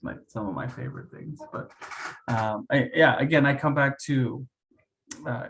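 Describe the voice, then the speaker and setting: A soft-spoken, somewhat breathy man's voice. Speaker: facilitator trainer. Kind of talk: training session discussion.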